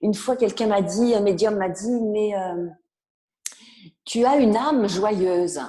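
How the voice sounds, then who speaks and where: Her voice sits at a medium pitch with a dark, mellow tone and ordinary pitch variation, broken by long, frequent pauses. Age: 60s. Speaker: author and personal development speaker. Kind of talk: interview.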